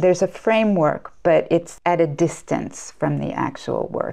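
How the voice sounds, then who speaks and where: In an American accent, this voice has a dark, mellow tone with vocal fry, ordinary pitch variation and a fairly slow pace over a quiet background. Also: woman. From United States. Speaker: clinical psychologist. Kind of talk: interview.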